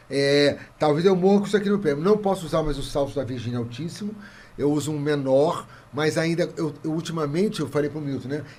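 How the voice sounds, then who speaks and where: Quick-paced and fairly high in pitch, a man speaks with ordinary pitch variation. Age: 60s. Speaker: comedian. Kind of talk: casual chat. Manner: animated.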